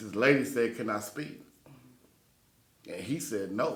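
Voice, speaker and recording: A middle-paced male voice in an American accent, room echo audible around it. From Texas, Dallas-Fort Worth. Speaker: podcast host. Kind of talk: casual chat.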